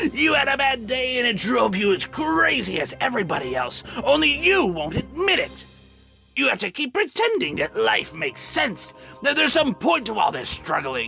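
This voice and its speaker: Over clear background music, a man uses a put-on character voice. He projects it loudly at an extremely high pitch. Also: moderate pace. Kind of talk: dramatic villain monologue. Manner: taunting, manic.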